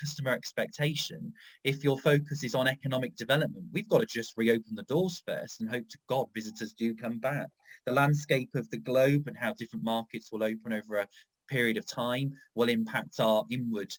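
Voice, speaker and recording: With lively intonation, a man speaks at a fairly quick pace and medium pitch in an unremarkable speaking voice, the sound dry and close with no echo. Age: 30s. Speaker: tourism strategist. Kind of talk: panel discussion.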